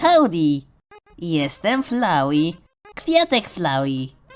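Using a put-on character voice, a female-sounding speaker talks at a very slow pace with a fairly low pitch. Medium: dub.

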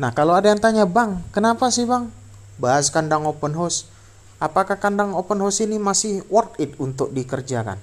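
At a fairly quick pace, a man talks in a high pitch with lively intonation. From Indonesia. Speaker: poultry farmer and vlogger; vlogger. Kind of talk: tutorial. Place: farm machine. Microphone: phone near.

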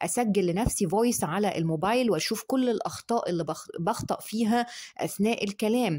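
A woman talks at a moderate pace in a fairly high pitch, with a dark, mellow tone and lively intonation. Her loudness stays very even over a quiet background. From Egypt. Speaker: dentist. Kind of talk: tutorial. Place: home room. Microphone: phone near.

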